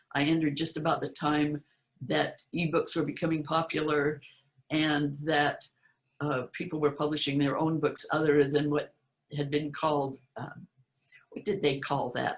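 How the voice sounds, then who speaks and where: This woman's pitch is very deep and low. She talks in an American accent. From US West (Utah). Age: 80s+. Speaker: author giving conference talk. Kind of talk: conference presentation. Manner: halting, many repetitions.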